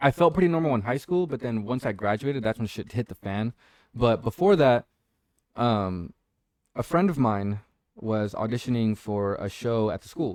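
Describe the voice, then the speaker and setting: A man with an ordinary speaking voice talks at medium pitch and a moderate pace, his intonation lively. His loudness swings widely, and the sound is dry and close with no echo. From born in Tijuana, Mexico, moved to US as young child. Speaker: actor. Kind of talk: casual interview chat. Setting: live-streamed podcast at host's home. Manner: casual, many fillers and restarts.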